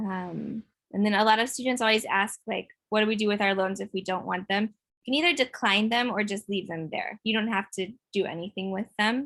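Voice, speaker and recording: Against a quiet background, a woman speaks at medium pitch in an ordinary speaking voice with ordinary pitch variation. The sound is dry and close, with no echo. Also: fairly quick pace. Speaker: financial aid counselor. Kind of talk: online workshop presentation with Q&A. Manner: frequent fillers (um).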